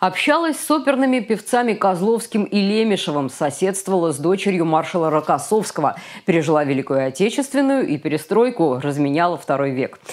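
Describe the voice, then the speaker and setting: A woman's fairly quick speech comes through against a quiet background. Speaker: news anchor. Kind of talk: TV news read. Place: studio. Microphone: lapel.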